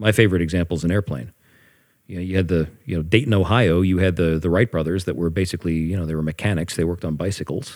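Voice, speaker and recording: Speaking with an American accent at a very fast pace, a man with a very deep, low pitch shows ordinary pitch variation and big swings in loudness in a very clean recording with a silent background. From Pittsburgh, Pennsylvania. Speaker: jazz woodwind musician. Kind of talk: casual interview chat. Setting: studio couch. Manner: halting, many fillers and repeats.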